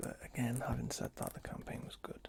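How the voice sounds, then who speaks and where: Whispering comes at a moderate pace. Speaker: ASMR creator. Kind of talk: ASMR game review. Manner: soft-spoken, whispered.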